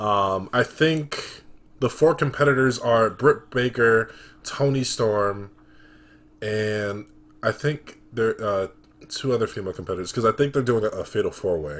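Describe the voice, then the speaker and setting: A man speaks in an ordinary speaking voice at a medium pitch, keeping a moderate tempo and ordinary pitch variation. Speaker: podcast host. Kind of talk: casual chat. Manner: casual, laid-back.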